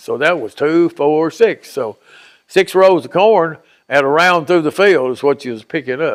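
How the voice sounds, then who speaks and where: On a very clean recording with a silent background, a man talks at a fairly slow pace. His fairly high pitch shows ordinary variation. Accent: Tennessee. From Dover, Tennessee. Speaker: retired diver and construction worker. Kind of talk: interview answer.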